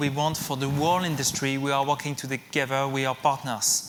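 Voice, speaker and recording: With a French accent, a man with a fairly high pitch talks at a moderate pace amid audible room echo. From France. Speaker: technology company executive. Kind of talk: conference keynote. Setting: stage with audience. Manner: halting, with fillers.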